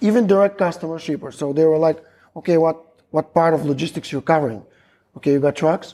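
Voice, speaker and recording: Very fast speech comes from a man with a Macedonian accent, interrupted by long, frequent pauses. His voice is fairly high in pitch with ordinary variation and a dark, mellow tone. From North Macedonia, Stip. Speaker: logistics company employee. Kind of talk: casual chat. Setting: restaurant.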